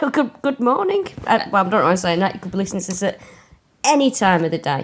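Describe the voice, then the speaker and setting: A woman with a Mancunian accent, medium-pitched, lively intonation, very fast pace. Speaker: comedian. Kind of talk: casual chat.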